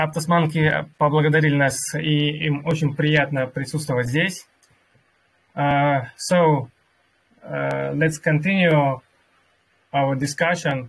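A man with a Russian accent talks at a very slow pace with monotone, flat intonation. He leaves long, frequent pauses. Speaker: crypto community workshop host and interpreter. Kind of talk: live online workshop moderation and interpreting. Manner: halting with many fillers in English.

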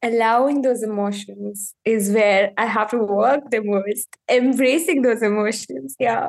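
The speech moves at a fairly slow pace with hardly any pauses. Loudness stays very even, and the pitch varies in an ordinary way. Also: woman, fairly high pitch for a woman. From India. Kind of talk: coaching conversation.

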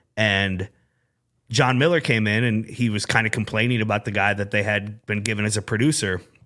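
A man with a Midwestern US accent talks at a fairly quick pace in a bright, sharp tone. His pitch is fairly low and his intonation fairly even, on a very clean recording with a silent background. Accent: US Midwest. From Iowa, Des Moines area (Urbandale). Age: 40s. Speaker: sports radio program director. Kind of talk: casual chat. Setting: studio.

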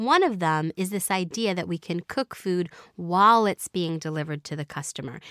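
A woman talks in a plain, everyday voice, fairly low-pitched, at a fairly quick pace with lively intonation. The sound is dry and close with no echo, and the recording is very clean with a silent background. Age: 30s. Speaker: food tech entrepreneur. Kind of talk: interview.

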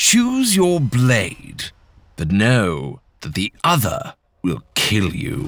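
A man growls slowly in a put-on character voice at a medium pitch, at a very slow pace. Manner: snarling, menacing.

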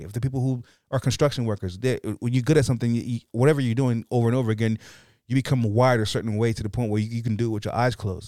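This man has a dark, mellow tone at a medium pitch, in an American accent. He speaks at a very fast pace. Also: very clean recording, silent background. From US. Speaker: stand-up comedian. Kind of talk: casual chat. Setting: studio. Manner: stutters at times; fast talker.

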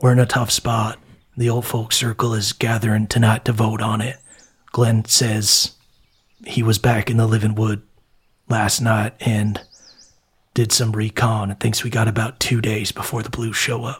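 In a put-on character voice, a man speaks at a moderate pace with a raspy, medium pitch. His intonation is monotone and flat, and he takes long, frequent pauses. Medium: actual play. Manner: hesitant, rambling.

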